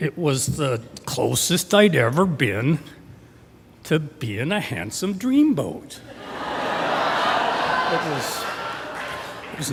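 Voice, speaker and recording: A fairly high-pitched man's voice with very wide pitch swings and noticeable background noise. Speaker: storyteller. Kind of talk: live storytelling performance. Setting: live stage.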